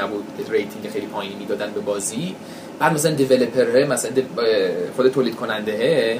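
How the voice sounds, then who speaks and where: A man with an English accent talks at a very fast pace in a medium pitch, with audible room echo and noticeable background noise. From US West Coast, San Francisco area. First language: English (speaking Persian). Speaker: video game journalist. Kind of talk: casual chat. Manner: halting.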